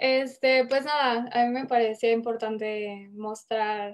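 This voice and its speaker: A woman speaks at a fairly high pitch in a flat monotone. The background is quiet. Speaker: creative director at independent ad agency; panelist. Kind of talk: panel discussion, casual. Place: home room. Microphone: video call.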